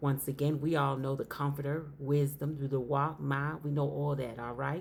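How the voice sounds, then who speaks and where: A woman's very deep, low voice at a moderate pace, flat and monotone, with audible room echo. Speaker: religious teacher. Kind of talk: sermon.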